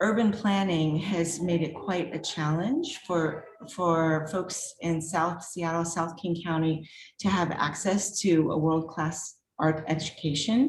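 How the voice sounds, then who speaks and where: A woman speaks at a very slow pace in a fairly low pitch, with fairly even intonation. Room echo is audible. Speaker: artist and art professor. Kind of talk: virtual artist talk.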